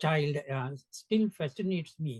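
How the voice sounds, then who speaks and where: Lively intonation from a man with a Sri Lankan accent, at a fairly slow pace in a dry, close sound with no echo. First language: Sinhala. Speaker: education center founder. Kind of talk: interview conversation.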